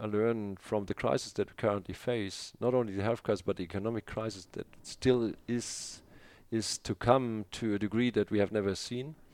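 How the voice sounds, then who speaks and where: A man with a German accent speaks at a fairly low pitch with fairly even intonation. The sound is dry and close with no echo, on a very clean recording with a silent background. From northern Germany. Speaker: aerospace executive. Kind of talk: interview. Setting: in person in Berlin.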